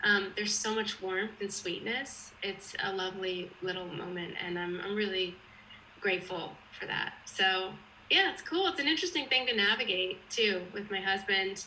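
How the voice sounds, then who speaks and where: A woman talks at a moderate pace in a medium pitch, with ordinary pitch variation. Audible room echo surrounds her voice. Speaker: actress. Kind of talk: casual interview.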